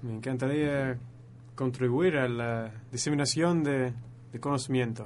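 With audible room echo, a man of medium pitch talks at a fairly slow pace with fairly even intonation. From northern England, Leeds. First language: English (speaking Spanish). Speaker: astrophysics student. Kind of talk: radio interview, explaining astronomy. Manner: halting, searching for words.

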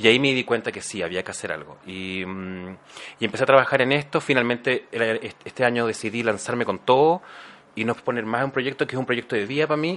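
A man with a plain, everyday voice talks at a fairly quick pace, at medium pitch with ordinary pitch variation. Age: 40s. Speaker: actor and HIV awareness YouTuber. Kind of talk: interview.

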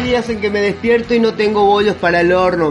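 A man talks fairly quickly, his pitch varying in an ordinary way, with noticeable background noise behind him. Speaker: podcast host and poetry reader. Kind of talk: poetry reading, spoken word.

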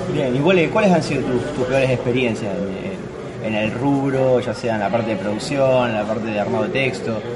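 Speaking at a fairly quick pace with an Argentine accent, a man with a medium pitch is heard amid noticeable background noise and audible room echo. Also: ordinary pitch variation. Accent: Rioplatense Argentine Spanish. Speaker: podcast host. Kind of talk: casual interview.

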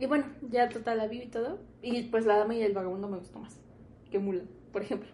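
At a very fast pace broken by long, frequent pauses, a woman with a Mexican accent speaks in a fairly high, somewhat breathy voice of dark, mellow tone, her intonation fairly even, with audible room echo. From Mexico, Morelia (Michoacán). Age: 20s. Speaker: podcast co-host. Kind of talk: casual chat.

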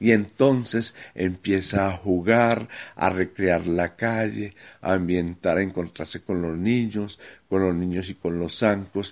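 Over a quiet background, a man with a very deep, low pitch speaks at a very slow pace with fairly even intonation. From Medellín, Colombia. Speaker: community theatre founder. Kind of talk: testimony.

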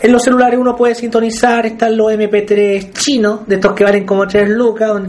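A high-pitched man at a fairly quick pace, fairly even intonation, and noticeable background noise. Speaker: focus group moderator. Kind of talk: group discussion moderation. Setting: in-person group meeting room.

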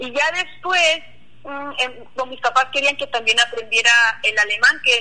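Noticeable background noise sits under a woman's high-pitched voice. She talks at a moderate pace with ordinary pitch variation. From Mennonite community near Cuauhtémoc, Chihuahua, Mexico. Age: 20s. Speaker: Mennonite YouTuber. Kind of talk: interview.

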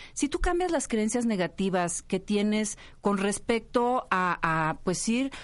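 In a plain, everyday voice, a woman speaks at medium pitch with ordinary pitch variation against a quiet background. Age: 40s. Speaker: communicator and writer. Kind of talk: casual chat.

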